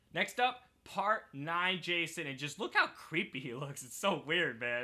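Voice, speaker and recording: A man speaks fairly slowly in a raised, projected voice with a bright, sharp tone and very wide pitch swings. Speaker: gaming YouTuber. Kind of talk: casual video game commentary. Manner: halting, self-correcting.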